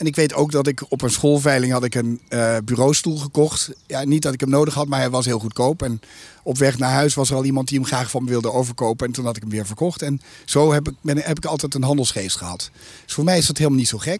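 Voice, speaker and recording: Speaking very fast, a man keeps a medium pitch that varies in an ordinary way. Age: 50s. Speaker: investment company CEO. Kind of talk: interview. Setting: outdoors in a garden. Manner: hesitant with frequent fillers.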